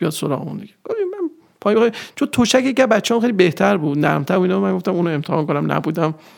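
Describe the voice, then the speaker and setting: A man's voice sits high and rushes along very fast, his intonation lively. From Iran, Nishapur (Khorasan). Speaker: structural engineering manager. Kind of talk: interview.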